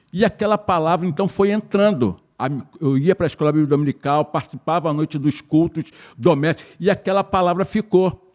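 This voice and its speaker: Recorded with a dry, close sound and no echo, a man speaks at a fairly quick pace in a high pitch with ordinary pitch variation. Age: 60s. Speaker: church member, course participant. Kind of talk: testimony.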